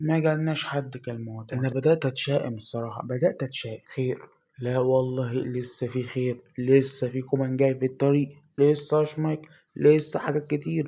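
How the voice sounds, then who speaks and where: With an Egyptian accent, a man speaks at a moderate pace in a dark, mellow, somewhat breathy tone with fairly even intonation. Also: medium pitch for a man. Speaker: mobile gaming youtuber. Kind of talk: gameplay commentary.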